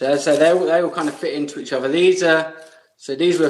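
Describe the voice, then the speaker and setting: The speaker has an English accent and fairly even intonation. The pace is fairly quick. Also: man. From England. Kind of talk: podcast interview answer. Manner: casual, hesitant.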